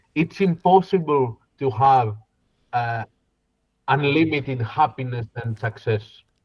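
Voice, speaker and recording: Somewhat breathy, a man speaks with a Greek accent. His pace is fairly slow. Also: dry, close sound with no echo. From Greece, Koroni and Kalamata. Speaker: business consultant and singer. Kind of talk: interview conversation. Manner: halting.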